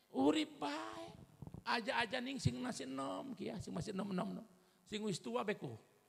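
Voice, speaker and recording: A man speaks at a moderate pace with vocal fry. His pitch swings very widely. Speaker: Islamic preacher. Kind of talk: religious sermon.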